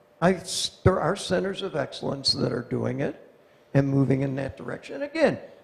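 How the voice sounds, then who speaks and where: A fairly quick voice with an American accent over noticeable background noise. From United States. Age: 70s. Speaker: innovation and technology transfer speaker. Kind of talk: conference talk. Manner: animated. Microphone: speaking without microphone.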